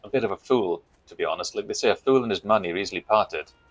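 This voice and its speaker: The sound is dry and close, with no echo. A man talks with a Welsh accent. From Wales. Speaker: gaming streamer. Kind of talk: casual chat.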